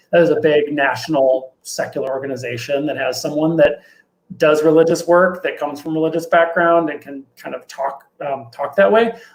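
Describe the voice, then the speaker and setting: A man's fairly high voice shows ordinary pitch variation and big swings in loudness. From Minnesota, US Upper Midwest. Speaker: deacon and advocacy educator. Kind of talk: interview. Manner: fast.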